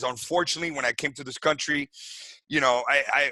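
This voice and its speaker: Talking at a very fast pace, a man with a fairly high pitch keeps a fairly even intonation in a dry, close sound with no echo. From Venezuela. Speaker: wellness clinic founder. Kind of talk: podcast interview. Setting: video call. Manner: halting.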